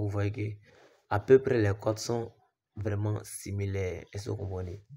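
On a very clean recording with a silent background, a man with a fairly low pitch and a somewhat breathy voice speaks at a moderate pace in a monotone, flat intonation. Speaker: sports betting tipster YouTuber. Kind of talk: screen-share betting tutorial.

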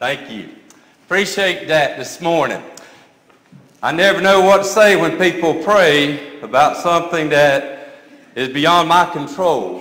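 Audible room echo around a man's high voice, fairly slow with long, frequent pauses and ordinary pitch variation. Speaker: pastor. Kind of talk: sermon. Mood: light-hearted, joking. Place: church.

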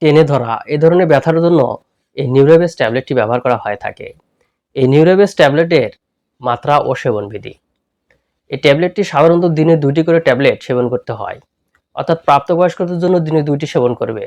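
A man's unremarkable speaking voice, pitched fairly high, with ordinary pitch variation. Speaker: health YouTuber. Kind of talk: channel promo; tutorial.

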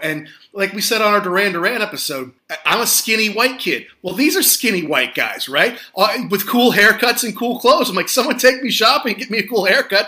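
A man's raised, projected voice, bright and sharp in tone, high in pitch, at a fairly quick pace. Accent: American. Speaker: podcast host. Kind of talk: casual chat.

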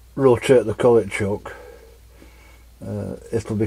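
A man talks at a fairly slow pace. His voice is somewhat breathy, with a dark, mellow tone. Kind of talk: tutorial. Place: workshop. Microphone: camera far.

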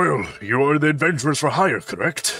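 A man puts on a booming character voice, fairly high in pitch, at a moderate pace. Faint music plays in the background.

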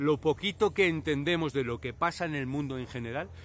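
In a dry sound with no echo but light background noise, a man speaks at a moderate pace with lively intonation. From Spain, Valladolid; Spain. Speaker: YouTuber with multiple sclerosis. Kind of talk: personal reflection to camera. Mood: reflective, personal. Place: open country. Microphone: phone near.

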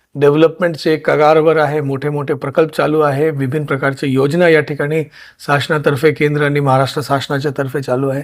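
This is a man speaking. His pitch is fairly high. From India, raised partly in Karnataka and Delhi. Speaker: district collector, civil servant. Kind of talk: interview. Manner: halting.

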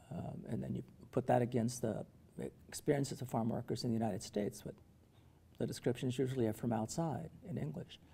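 A man's medium-pitched, dark and mellow voice with vocal fry, a very fast pace, long and frequent pauses, and ordinary pitch variation. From US-Mexico border, Calexico, California; California. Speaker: professor; professor being interviewed. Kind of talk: interview. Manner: halting. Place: meeting room.

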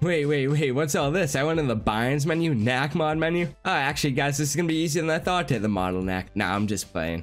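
A man talks at a fast pace with few pauses, his fairly high, nasal voice showing lively intonation. Faint music plays in the background.

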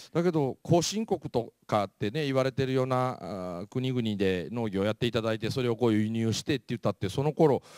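A man's medium-pitched voice with lively intonation at a fairly quick pace, in a dry, close sound with no echo and a very clean recording with a silent background. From Japan, Mie Prefecture (Kansai-type dialect). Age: 40s. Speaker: motivational speaker. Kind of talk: lecture.

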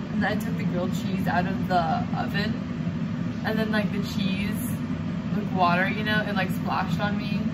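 Loud background noise runs throughout. A woman talks over it at a moderate pace. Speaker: vlogger. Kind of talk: casual vlog chat. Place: kitchen.

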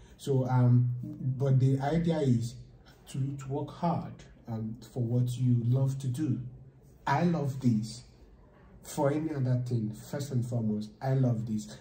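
In a Nigerian accent, a man with a medium pitch and a dark, mellow, somewhat breathy tone talks very slowly with fairly even intonation, and room echo is audible. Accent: Nigerian English (Igbo). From Nigeria, Enugu State. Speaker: data science student. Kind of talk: casual chat. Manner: halting. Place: meeting room. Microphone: camera far.

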